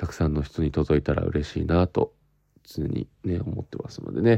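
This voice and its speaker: In a quiet background, a man speaks at a moderate pace. His tone is dark and mellow, with lively intonation. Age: 20s. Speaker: actor hosting his own podcast. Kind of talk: casual solo podcast talk. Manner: animated.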